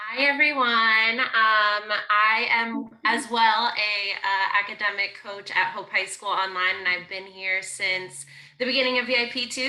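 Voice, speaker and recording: A fairly high-pitched woman at a fairly slow pace, with noticeable background noise. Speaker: academic coach. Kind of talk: staff introduction. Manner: loud; cheery, upbeat.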